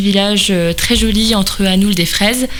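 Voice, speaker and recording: Audible room echo and noticeable background noise surround a woman speaking at a medium pitch. She keeps a moderate pace and fairly even intonation. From Vosges, eastern France. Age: 20s. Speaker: beauty pageant contestant, nurse. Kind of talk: radio interview. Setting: radio studio.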